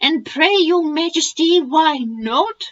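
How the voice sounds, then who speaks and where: A squeaky, high-pitched put-on character voice speaks at a very slow pace. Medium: read story. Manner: proud, courtly, fiery.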